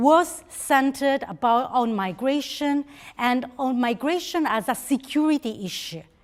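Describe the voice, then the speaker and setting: A woman speaks with an Italian accent. Her pitch is high and her intonation lively. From Italy. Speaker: think-tank representative. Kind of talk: conference speech. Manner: halting.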